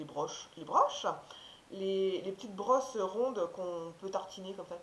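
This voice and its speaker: A woman talks fairly slowly at a medium pitch with ordinary pitch variation and big swings in loudness. Noticeable background noise runs behind her. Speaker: haul video creator. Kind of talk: casual talk to camera.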